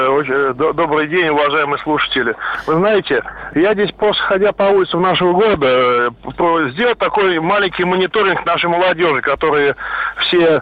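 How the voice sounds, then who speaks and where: Behind this man's voice there is noticeable background noise. His pitch is fairly high, his pace moderate and his pitch variation ordinary. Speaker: caller. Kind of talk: radio call-in opinion. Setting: phone call.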